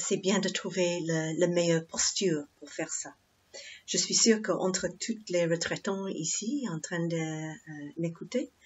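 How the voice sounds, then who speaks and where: Speaking at a fairly slow pace, a woman with an English accent has a fairly low pitch and a somewhat breathy sound. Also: ordinary pitch variation. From England. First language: English (speaking French). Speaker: Buddhist nun, meditation teacher. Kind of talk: dharma talk. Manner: halting, many hesitations.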